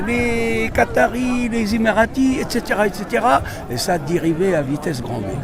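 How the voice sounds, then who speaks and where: Over noticeable background noise and audible room echo, a man speaks at a very slow pace in a high pitch with very wide pitch swings. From Tunisia. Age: 70s. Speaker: interviewee at a protest. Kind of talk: street interview. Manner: halting, with repetitions.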